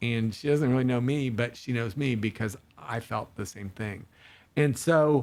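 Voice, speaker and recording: A man speaks at a moderate pace in a medium pitch with ordinary pitch variation, in an unremarkable speaking voice. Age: 60s. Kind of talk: casual faith-based podcast conversation.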